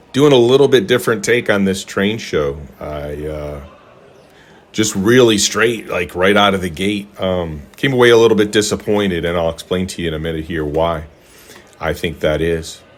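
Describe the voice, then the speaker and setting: A man speaks with a very deep, low pitch at a moderate pace. His intonation is lively, over noticeable background noise. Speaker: model train hobbyist YouTuber. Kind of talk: casual vlog talk. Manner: hesitant, many fillers and repeats.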